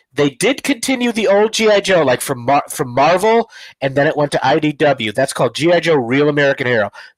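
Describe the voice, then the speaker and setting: A man's fairly high, fairly quick voice with very wide pitch swings, dry and close with no echo, on a very clean recording with a silent background. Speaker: comic book podcast co-host and cover artist. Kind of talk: casual chat. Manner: fast.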